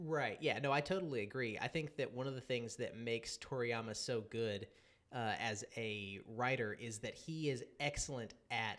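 Here a man has a normal speaking voice at medium pitch. His pitch variation is ordinary. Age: 30s. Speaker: podcast host. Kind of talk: casual chat.

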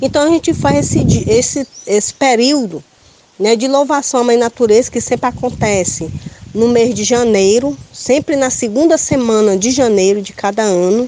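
Fairly high-pitched woman with lively intonation at a moderate pace, over noticeable background noise. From Ceará, Brazil (Itapipoca). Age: 50s. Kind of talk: interview.

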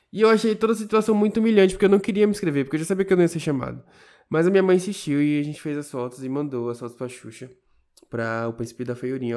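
On a very clean recording with a silent background, a dark, mellow tone rushes at a very fast pace with lively intonation and big swings in loudness. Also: man, fairly high pitch for a man. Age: 20s. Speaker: podcast co-host. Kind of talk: casual chat.

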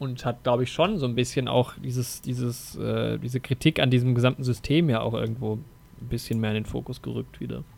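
A man's unremarkable speaking voice, medium in pitch, fairly quick and fairly even in intonation, on a very clean recording with a silent background. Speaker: film podcast host. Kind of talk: casual chat.

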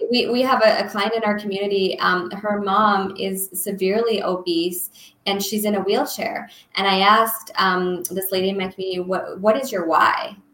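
A woman speaks at a moderate pace with a medium pitch and fairly even intonation, with audible room echo and noticeable background noise. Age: 30s. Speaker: health coach. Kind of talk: casual interview.

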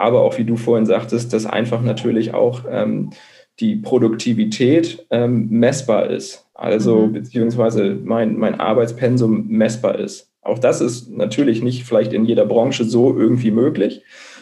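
Audible room echo carries this recording. A man speaks at a fairly slow pace. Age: 30s. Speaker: blogger and marketing manager. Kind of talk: interview. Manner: hesitant, many filler sounds. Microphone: connection dropped out briefly.

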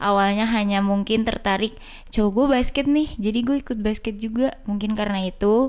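A woman with a plain, everyday voice speaks fairly quickly at a medium pitch with ordinary variation, recorded very cleanly against a silent background. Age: 20s. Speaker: basketball club administrator and player. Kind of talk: casual chat.

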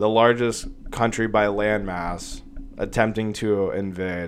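At a very slow pace, a man talks in a monotone, flat intonation with a fairly low pitch. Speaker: podcast host. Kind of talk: casual solo commentary. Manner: halting, many fillers.

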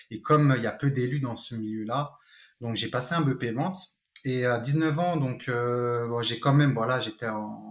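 A man talks at a fairly slow pace in an ordinary speaking voice. His pitch is medium, with ordinary variation. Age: 30s. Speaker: real estate investor. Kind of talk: interview.

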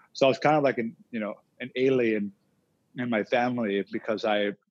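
An ordinary speaking voice moves at a fairly quick pace with ordinary pitch variation, recorded dry and close with no echo against a quiet background. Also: man. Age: 20s. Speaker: entrepreneur. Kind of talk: interview.

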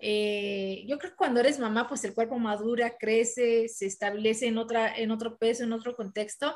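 A woman with an unremarkable speaking voice and a fairly high pitch talks at a moderate pace with fairly even intonation and hardly any pauses. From Mexico. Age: 30s. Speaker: professional boxer. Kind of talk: interview.

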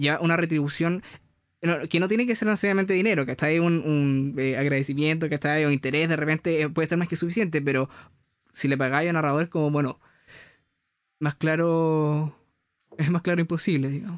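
Over a silent background in a very clean recording, a man with a fairly high pitch speaks at a fairly quick pace with very even loudness, ordinary pitch variation, and long, frequent pauses. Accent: Chilean. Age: 20s. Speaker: podcast co-host. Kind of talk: casual chat.

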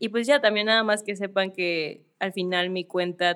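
A woman talks in an ordinary speaking voice. Her pitch is fairly low and her intonation fairly even. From Mexico City. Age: 20s. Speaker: illustrator and influencer. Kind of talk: casual interview. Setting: studio.

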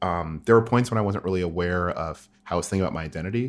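A man with a very deep, low pitch and an American accent at a very fast pace, ordinary pitch variation, very clean recording with a silent background. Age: 20s. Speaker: photographer. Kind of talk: casual chat. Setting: guest's apartment.

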